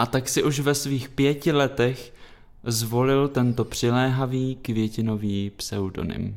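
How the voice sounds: It is a natural reading voice with ordinary pitch variation.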